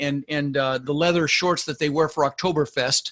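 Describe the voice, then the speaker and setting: An unremarkable speaking voice with an American accent, fairly quick pace and fairly even intonation. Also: man. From Denver, Colorado. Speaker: real estate investor. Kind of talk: interview.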